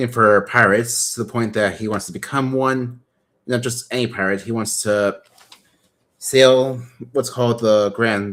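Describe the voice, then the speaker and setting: Speaking at a fairly slow pace, a man has a plain, everyday voice, a medium pitch and fairly even intonation. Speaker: toy model builder streamer. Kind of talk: casual chat. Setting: live stream.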